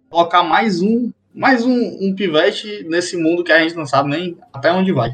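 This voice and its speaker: Lively intonation, a moderate speed, and a plain, everyday voice from a man. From Fortaleza, Brazil. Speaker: IT support worker. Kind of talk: casual chat.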